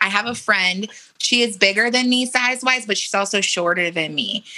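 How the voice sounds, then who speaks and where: A woman with a Californian accent at a fairly quick pace, ordinary pitch variation, noticeable background noise behind her. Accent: Californian American English. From San Diego, California. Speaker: model and influencer. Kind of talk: interview conversation. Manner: animated.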